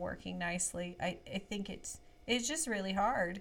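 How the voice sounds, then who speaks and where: At a moderate pace, a woman talks with a medium pitch, ordinary pitch variation and a plain, everyday voice. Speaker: kindergarten teacher podcast host. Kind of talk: casual chat.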